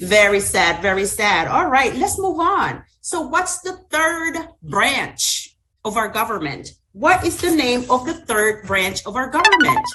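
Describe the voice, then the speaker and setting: A woman projects a raised, high-pitched voice with a bright, sharp tone and very wide pitch swings. She speaks fairly slowly, with audible room echo. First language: Spanish. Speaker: student teacher. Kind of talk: classroom teaching simulation.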